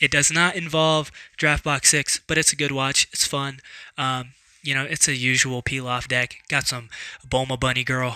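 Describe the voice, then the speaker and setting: Very clean recording with a silent background. A man speaks at a moderate pace and medium pitch, monotone and flat, with a bright, sharp tone. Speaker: card game vlogger. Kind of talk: casual vlog talk. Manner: halting, many fillers and repeats.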